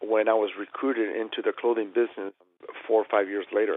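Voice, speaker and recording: A man speaks in a Spanish accent. His intonation is monotone and flat. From Chile. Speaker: tailor. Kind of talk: interview.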